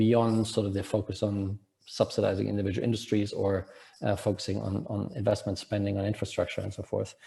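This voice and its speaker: A man's somewhat breathy voice with a dark, mellow tone comes through a very clean recording over a silent background. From Germany. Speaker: economist, panel discussant. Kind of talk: panel discussion. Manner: halting, many fillers and repetitions.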